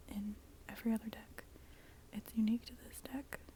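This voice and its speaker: Someone whispers at a moderate pace. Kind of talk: ASMR tarot show and tell, casual talk to camera. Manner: soft-spoken, whispered, up close.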